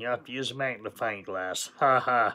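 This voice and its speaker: With a bright, sharp tone and ordinary pitch variation, this man talks over a quiet background. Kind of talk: casual vlog chat. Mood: pleased, enthusiastic. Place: home room. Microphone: phone near.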